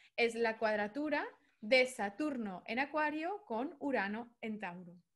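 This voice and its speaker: Against a quiet background, a woman with a high pitch speaks at a fairly slow pace with lively intonation. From Andalusia, Spain (Seville). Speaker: astrologer and therapist; guest. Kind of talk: interview conversation. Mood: calm, explanatory. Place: home room. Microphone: connection drops out; video call.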